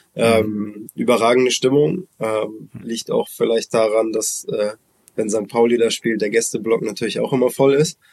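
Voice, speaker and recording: The pace is fairly slow and the intonation fairly even. Sound is dry and close, without echo. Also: man, medium pitch for a man. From Hamburg, northern Germany. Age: 30s. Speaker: former pro footballer, now women's team coach. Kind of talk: interview. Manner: hesitant, many fillers.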